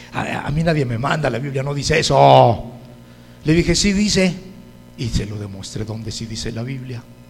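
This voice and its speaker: Amid audible room echo and noticeable background noise, a man at medium pitch talks at a moderate pace in an animated tone, with lively intonation and long, frequent pauses. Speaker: preacher. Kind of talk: sermon. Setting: church.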